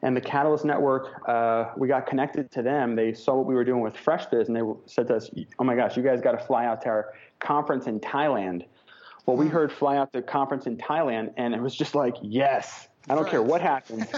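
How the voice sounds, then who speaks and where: Talking at a fairly quick pace with fairly even intonation, a man with an American accent uses a normal speaking voice at a medium pitch. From New York. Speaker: entrepreneur and keynote speaker. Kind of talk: interview.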